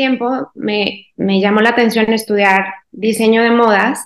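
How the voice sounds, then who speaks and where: The woman's voice is fairly high in pitch, and her delivery comes at a fairly slow pace. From Mexico, Guanajuato. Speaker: quilter and sewing teacher. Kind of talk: interview.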